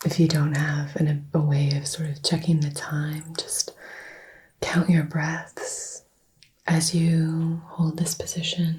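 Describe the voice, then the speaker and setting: A soft-spoken woman with a fairly low pitch talks at a very slow pace in a monotone, flat intonation. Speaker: Reiki teacher. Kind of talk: instructional tutorial.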